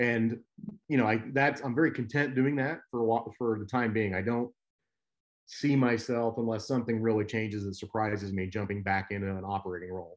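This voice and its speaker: Against a quiet background, a man talks fairly quickly at medium pitch with ordinary pitch variation. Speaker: biotech executive. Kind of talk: guest lecture. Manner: fast; halting.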